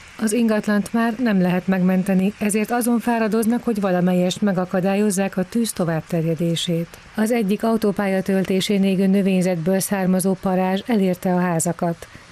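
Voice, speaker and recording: A woman's medium-pitched voice with fairly even intonation, very even loudness and hardly any pauses, over noticeable background noise. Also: moderate pace. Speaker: news reporter. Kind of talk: news report voiceover.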